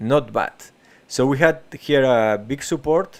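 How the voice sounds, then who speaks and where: A man with a Spanish accent speaks with ordinary pitch variation on a very clean recording with a silent background. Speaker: crypto trading streamer. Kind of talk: live market analysis stream. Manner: halting, many fillers and restarts.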